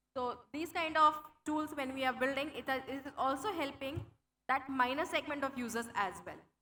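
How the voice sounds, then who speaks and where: A woman projects her high voice at a moderate pace. Her pitch varies in an ordinary way. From India. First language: Hindi. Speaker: tech program manager. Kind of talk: conference talk.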